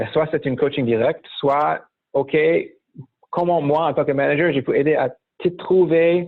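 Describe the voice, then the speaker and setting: This man has an American accent and a fairly high pitch. His loudness stays very even, broken by long, frequent pauses. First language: English (speaking French). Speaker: startup founder and management mentor. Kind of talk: interview. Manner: hesitant, many fillers.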